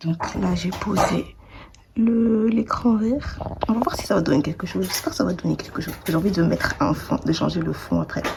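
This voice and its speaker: A woman speaks at a moderate pace. There is noticeable background noise behind her. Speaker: vlogger and bag maker. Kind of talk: casual vlog. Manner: hesitant, many fillers.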